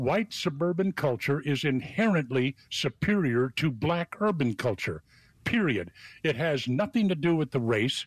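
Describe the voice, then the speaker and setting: A man talks at a fairly slow pace with very wide pitch swings and very even loudness. The sound is dry and close with no echo, over a quiet background. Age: old. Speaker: civic club member. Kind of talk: casual talk radio chat.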